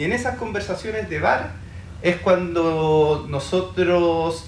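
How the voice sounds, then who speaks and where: A man's fairly high voice with light background noise and audible room echo. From Chile. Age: 40s. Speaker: poet and artist; poet. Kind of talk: panel presentation. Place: hall.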